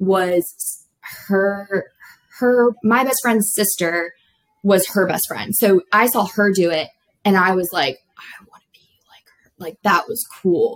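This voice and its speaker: An unremarkable speaking voice from a woman with an American accent, medium pitch, ordinary pitch variation and a fairly slow pace. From South Florida. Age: 20s. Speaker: nursing student. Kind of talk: casual chat.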